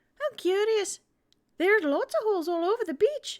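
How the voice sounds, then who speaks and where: A woman does a put-on character voice that is squeaky and extremely high, with very wide pitch swings. She keeps a moderate pace, and the sound is dry and close, with no echo. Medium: actual play.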